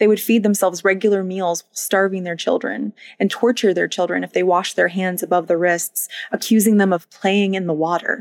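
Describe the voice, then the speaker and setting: An ordinary speaking voice moves at a fairly quick pace with fairly even intonation and big swings in loudness. The sound is dry and close, with no echo. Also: woman, medium pitch for a woman. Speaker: true crime podcaster. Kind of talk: true-crime narration, scripted. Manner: serious, measured narrator; conversational, warm with listeners.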